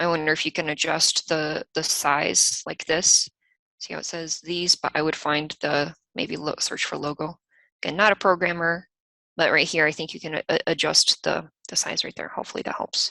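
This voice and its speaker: In a monotone, flat intonation with a slight Eastern European accent, the speaker talks at a moderate pace with a bright, sharp tone, in a dry, close sound with no echo and a quiet background. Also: woman, very deep, low pitch for a woman. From US, raised by Ukrainian/Russian parents. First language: Russian or Ukrainian, bilingual from childhood. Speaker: software company team member co-hosting a webinar. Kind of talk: live webinar Q&A and screen-share tutorial.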